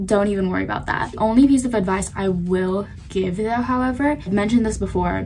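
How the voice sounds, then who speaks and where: A woman speaks, and the background noise is noticeable. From South Korea. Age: young. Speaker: college student. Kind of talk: casual vlog talk to camera. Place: home room. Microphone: phone near.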